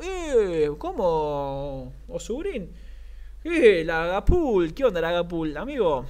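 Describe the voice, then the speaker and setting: A man speaks with a Rioplatense accent. His pitch swings very widely. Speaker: sports commentator. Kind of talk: live commentary. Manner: animated, rapid-fire play-by-play; excitable, shouts at near-misses.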